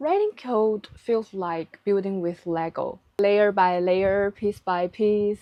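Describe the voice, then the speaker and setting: A woman with a Chinese accent speaks at a very slow pace and medium pitch, with fairly even intonation. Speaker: vlogger. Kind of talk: vlog narration. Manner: careful, non-native.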